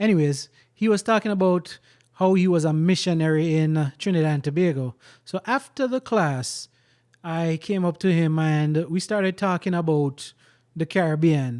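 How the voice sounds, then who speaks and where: On a very clean recording with a silent background and a dry, close sound with no echo, a man speaks at a high pitch with very even loudness and ordinary pitch variation. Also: moderate pace. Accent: Jamaican. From Jamaica. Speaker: vlogger. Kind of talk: personal storytelling monologue. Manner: animated.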